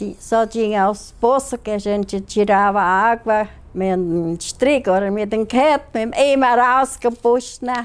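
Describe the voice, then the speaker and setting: A woman talks at a fairly high pitch and a very slow pace. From Ivoti, Rio Grande do Sul, Brazil. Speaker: local resident. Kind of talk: documentary interview.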